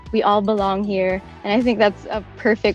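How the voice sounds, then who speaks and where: With music in the background, a woman talks at a moderate pace and a medium pitch. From Philippines. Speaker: voice actor. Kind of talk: interview answer.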